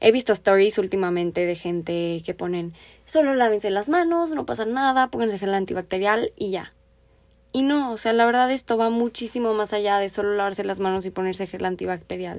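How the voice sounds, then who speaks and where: With an ordinary speaking voice, a woman talks at a fairly quick pace with lively intonation and a medium pitch. The recording is very clean, with a silent background. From Mexico. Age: 20s. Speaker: podcast host and finance student. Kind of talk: solo podcast monologue.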